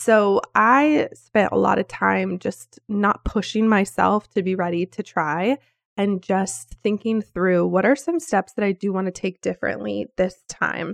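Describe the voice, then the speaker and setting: This woman talks at a fairly slow pace with hardly any pauses, her pitch medium and its variation ordinary. The sound is dry and close, with no echo. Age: 30s. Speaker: podcast host. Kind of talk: casual monologue.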